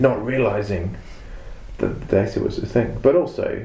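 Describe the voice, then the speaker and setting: A man's voice comes with audible room echo. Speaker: database consultant and trainer. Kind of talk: interview. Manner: halting, many repetitions.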